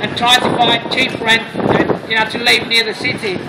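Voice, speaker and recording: Loud background noise fills the recording. Over it, a man speaks at a moderate pace. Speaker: international student. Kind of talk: rally speech. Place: street. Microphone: camera far.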